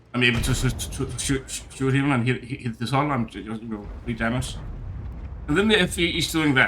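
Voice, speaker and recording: With a Danish accent, this man speaks at a moderate pace, his medium pitch carrying a bright, sharp tone. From Denmark. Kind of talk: gameplay commentary. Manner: stuttering, hesitant.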